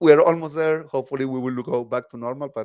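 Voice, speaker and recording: His voice sits at a medium pitch and moves up and down in an ordinary way. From Chile. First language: Spanish. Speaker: tech advocate presenter. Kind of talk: tech talk presentation. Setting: online video meetup.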